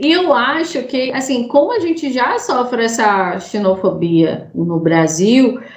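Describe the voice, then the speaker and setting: A woman at a fairly high pitch with very wide pitch swings, amid audible room echo and noticeable background noise. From Brazil, Sergipe (Aracaju). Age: 20s. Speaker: podcast host. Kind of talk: casual chat.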